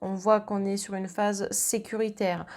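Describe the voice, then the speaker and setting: This woman's voice has a medium pitch and a monotone, flat intonation. She speaks at a fairly slow pace. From southern France. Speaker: medium and tarot reader. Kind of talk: astrology card reading.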